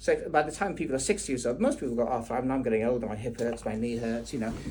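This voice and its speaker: Background noise is noticeable throughout. The pace of speech is very fast. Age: 60s. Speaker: GP doctor. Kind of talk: medical consultation. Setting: doctor's consultation room. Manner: interrupting, talks over patient.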